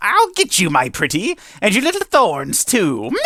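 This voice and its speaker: A man's put-on character voice, high-pitched and menacing, at a moderate pace. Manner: cackling, menacing, sing-song.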